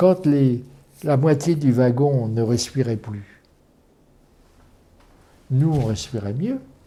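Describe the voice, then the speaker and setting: A man at medium pitch, somewhat breathy, at a very slow pace with long, frequent pauses. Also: ordinary pitch variation. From France. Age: 80s+. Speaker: former resistance fighter and concentration camp deportee. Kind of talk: interview answer.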